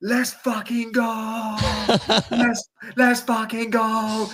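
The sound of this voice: A put-on character voice with an American accent, pitched fairly high, speaking at a very slow pace in a flat, monotone delivery.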